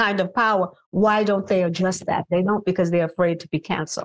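A woman speaks with a New York accent. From Brooklyn, New York. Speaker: singer. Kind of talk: casual chat.

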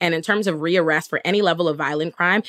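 This woman talks at a very fast pace in an animated tone, with a fairly low pitch. The sound is dry and close, with no echo. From Bahamas (Nassau). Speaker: public defender and political commentator. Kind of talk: casual interview conversation.

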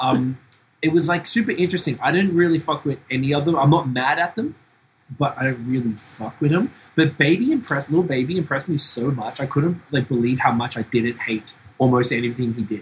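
This man talks at a fairly quick pace in a fairly high, somewhat breathy voice with ordinary pitch variation. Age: 40s. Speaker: podcast host. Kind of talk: casual chat. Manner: animated.

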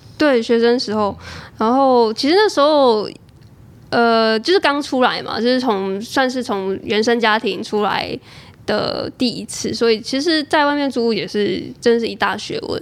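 Speaking in a plain, everyday voice, a woman talks at a fairly slow pace in a fairly high pitch with ordinary pitch variation. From Taiwan, Chiayi. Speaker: freelancer and podcaster. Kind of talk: casual interview chat.

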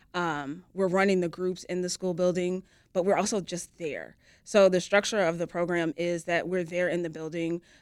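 With an American accent, a woman speaks at a moderate pace in a fairly low pitch and monotone, flat intonation, on a very clean recording with a silent background. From US Midwest. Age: 40s. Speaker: youth program director. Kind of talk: interview.

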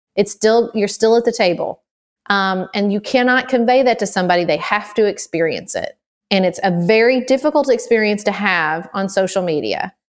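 A plain, everyday voice: moderate speed, ordinary rise and fall in pitch. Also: woman, medium pitch for a woman. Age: 30s. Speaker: podcast host. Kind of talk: interview.

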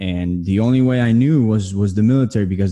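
A man at medium pitch with a dark, mellow tone, fairly even intonation and a fairly quick pace. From New Jersey. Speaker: army veteran and online marketer. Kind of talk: interview.

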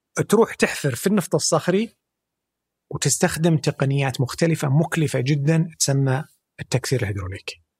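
Somewhat breathy, a man talks at a fairly high pitch and moderate pace with lively intonation. The sound is dry and close, with no echo. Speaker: energy sector specialist. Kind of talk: interview.

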